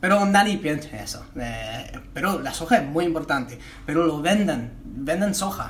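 A man's fairly high voice with lively intonation at a fairly slow pace, plus audible room echo and noticeable background noise. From United States. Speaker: comedian and podcast co-host. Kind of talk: casual chat. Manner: halting.

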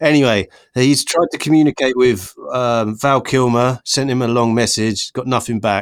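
A Norfolk accent at a moderate pace with fairly even intonation, in a very clean recording with a silent background and a dry, close sound with no echo. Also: man, medium pitch for a man. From Norfolk, England. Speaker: podcast host. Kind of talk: casual banter about films. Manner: jokey, irreverent.

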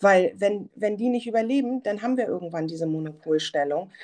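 Against a quiet background, a woman with a dark, mellow tone speaks at a moderate pace with ordinary pitch variation. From Germany, Hamburg. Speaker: software founder, former visual merchandiser. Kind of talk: casual interview. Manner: many filler sounds.

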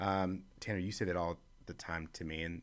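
His voice is very deep and low. The man speaks at a moderate pace. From Chicago. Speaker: leadership organization worker. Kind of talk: casual chat.

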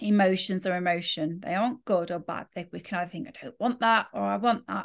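Against a quiet background, a woman uses a normal speaking voice with ordinary pitch variation at a fairly quick pace. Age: 40s. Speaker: spiritual coach and yoga teacher. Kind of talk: casual monologue. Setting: recorded while travelling.

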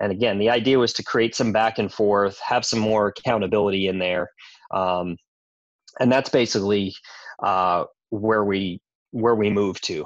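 A man's fairly low voice in an American accent, at a moderate pace with fairly even intonation and long, frequent pauses, against a quiet background. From New York. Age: 40s. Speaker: gym owner. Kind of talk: casual interview.

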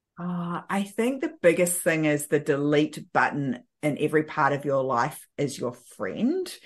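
A woman with a New Zealand accent speaks in a very deep, low voice with ordinary pitch variation against a quiet background. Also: fairly slow pace. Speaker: time management coach. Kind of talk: casual interview.

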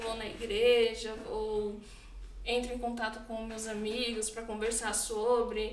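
A woman speaks in a fairly high pitch at a fairly slow pace. Audible room echo and noticeable background noise fill the recording. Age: 20s. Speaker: nursing home caregiver. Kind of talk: casual interview.

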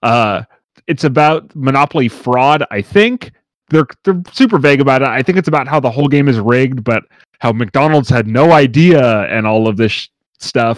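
An ordinary speaking voice comes at a moderate pace with ordinary pitch variation. The recording is very clean, dry and close, with no echo and a silent background. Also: man, medium pitch for a man. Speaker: podcast host. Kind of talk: casual banter.

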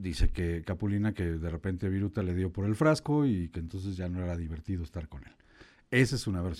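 Someone with a Mexican accent talks at a fairly quick pace, with ordinary pitch variation and big swings in loudness. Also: man, very deep, low pitch for a man. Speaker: radio host. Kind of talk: casual chat.

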